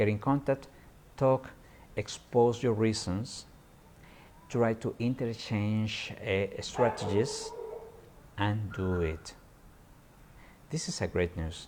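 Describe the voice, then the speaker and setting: A man with a Peruvian accent at medium pitch, very slow, with long, frequent pauses and ordinary pitch variation. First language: Spanish. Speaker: environmental journalist. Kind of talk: live stream monologue. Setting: live stream on social media. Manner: halting, many repetitions.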